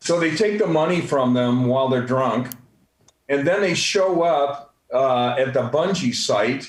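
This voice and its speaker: A man speaks at a fairly slow pace with a fairly high pitch. His loudness stays very even, and there is audible room echo. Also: ordinary pitch variation. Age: 60s. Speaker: real estate coach and speaker. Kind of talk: motivational talk on a group call. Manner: halting, many fillers.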